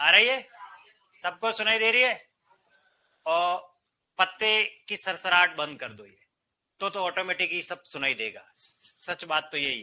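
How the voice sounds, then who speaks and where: A man's high, raised and projected voice with a bright, sharp tone, ordinary pitch variation, big swings in loudness and long, frequent pauses. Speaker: Hindi teacher at coaching class. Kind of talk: classroom lecture. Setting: classroom with students. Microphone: no microphone, some students may hear poorly.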